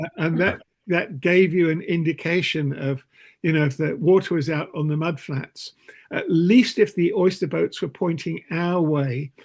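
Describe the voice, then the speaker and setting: At a moderate pace, a man with a southern English accent speaks at a fairly high pitch with ordinary pitch variation. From southeast England, Kent (Whitstable). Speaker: Quaker meeting participant. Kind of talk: casual group discussion. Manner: halting, many repetitions.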